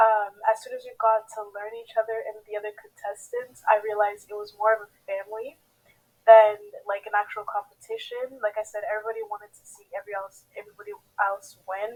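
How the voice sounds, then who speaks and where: With a Haitian accent, a woman talks at a fairly quick pace in a fairly high pitch, her intonation monotone and flat but her loudness swinging widely. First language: Haitian Creole. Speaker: pageant contestant. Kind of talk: interview.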